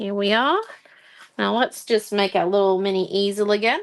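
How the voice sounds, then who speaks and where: Speaking with an Australian accent, a woman uses a medium pitch. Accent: Australian, moderate. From Australia, regional Queensland. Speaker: craft tutor. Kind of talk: livestream craft tutorial. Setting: live stream at night. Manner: casual, chatty.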